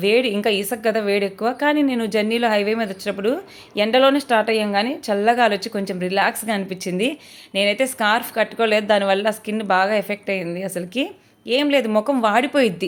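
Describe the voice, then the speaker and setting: She has a plain, everyday voice. The woman's fairly high pitch moves with fairly even intonation. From Andhra Pradesh, Prakasam district. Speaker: vlogger. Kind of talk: casual vlog narration.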